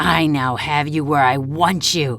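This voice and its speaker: A put-on character voice at a low-to-middle pitch moves at a fairly slow pace. Background noise is clearly audible. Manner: menacing.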